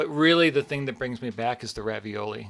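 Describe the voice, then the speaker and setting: Recorded very cleanly against a silent background, a man with an American accent talks at a fairly quick pace in a bright, sharp tone. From US Midwest, Cleveland, Ohio. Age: 40s. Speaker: chef and restaurateur. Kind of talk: casual interview chat. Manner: halting, many fillers and restarts.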